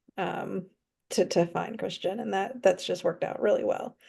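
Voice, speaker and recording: A woman with an American accent speaks at a medium pitch. Vocal fry runs through her voice. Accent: Southern US accent, stronger when emotional. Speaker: romance author. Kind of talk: casual interview chat.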